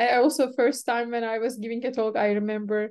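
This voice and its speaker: A high-pitched woman's voice with a Turkish accent. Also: quiet background. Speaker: event organizer and software developer. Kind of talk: casual chat.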